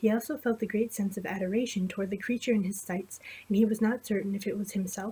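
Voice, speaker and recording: A quiet, somewhat breathy woman's voice with a dark, mellow tone at a fairly quick pace. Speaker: amateur storyteller. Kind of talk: fantasy story reading.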